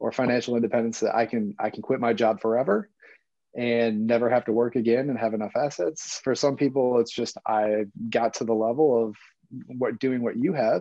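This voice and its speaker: An unremarkable speaking voice with an American accent carries fairly even intonation. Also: man, medium pitch for a man, fairly quick pace. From United States. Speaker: guest, swimmer and traveler. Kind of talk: casual chat.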